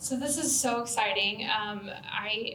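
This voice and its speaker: A woman with an American accent, her pitch fairly high and her intonation fairly even, amid noticeable background noise and audible room echo. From US Midwest, rural Southern Illinois. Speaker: social work professor. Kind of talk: Q&A after a talk. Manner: hesitant, many fillers.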